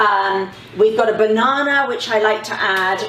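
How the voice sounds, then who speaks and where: Noticeable background noise beneath fairly slow speech. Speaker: health educator. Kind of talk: cooking tutorial. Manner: casual, chatty.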